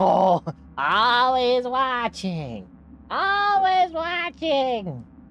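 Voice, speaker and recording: In a put-on character voice, the speaker goes very slowly at a fairly high pitch with very wide pitch swings over clear background noise. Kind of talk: casual stream chat. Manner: mock-sinister. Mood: amused, laughing.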